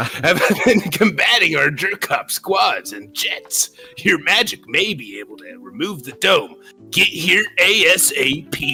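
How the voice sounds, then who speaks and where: A man's high-pitched, put-on character voice at a fairly slow pace, with faint music in the background. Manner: menacing, exaggerated.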